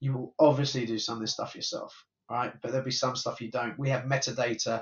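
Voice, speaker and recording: A man speaks at a medium pitch with fairly even intonation and a somewhat breathy sound. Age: 50s. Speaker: tech company founder and CEO. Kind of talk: interview.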